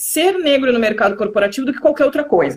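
A woman speaks high in pitch, her intonation lively. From Rio Grande do Sul, Brazil (Pelotas). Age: 30s. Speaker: digital transformation specialist. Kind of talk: live interview.

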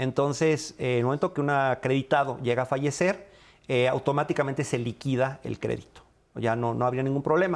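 Medium in pitch, a man talks at a fairly quick pace with ordinary pitch variation. The recording is very clean, with a silent background. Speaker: housing fund executive. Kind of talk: radio interview. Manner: halting, many fillers.

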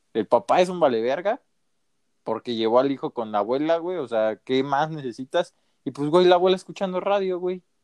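This man has a fairly high pitch and lively intonation, speaking at a moderate pace. The sound is dry and close, with no echo. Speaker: podcast co-host. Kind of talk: casual chat.

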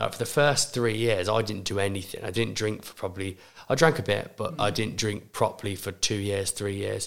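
Vocal fry colors this fairly quick delivery with ordinary pitch variation, captured in a very clean recording over a silent background. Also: man, fairly low pitch for a man. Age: 20s. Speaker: gym owner. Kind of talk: casual chat.

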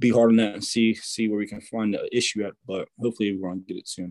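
A man with an American accent speaks at a fairly low pitch. His intonation is fairly even, and the sound is dry and close with no echo. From New Jersey. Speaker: race car driver. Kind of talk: casual interview.

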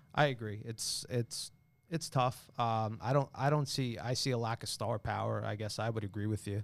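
Recorded very cleanly against a silent background, a man with a New York accent speaks at a moderate pace and medium pitch with fairly even intonation. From Long Island, New York. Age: 30s. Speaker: carpet salesman. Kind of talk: casual chat.

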